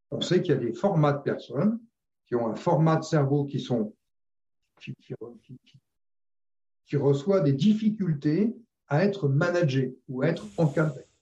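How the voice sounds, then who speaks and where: A man speaks at a fairly slow pace with fairly high pitch, lively intonation and big swings in loudness. His tone is dark and mellow, somewhat breathy, with long, frequent pauses. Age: 60s. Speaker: retired sales director. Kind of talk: interview conversation. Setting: video call.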